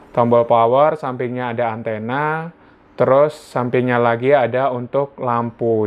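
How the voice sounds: Moderate pace and fairly even intonation from a man at medium pitch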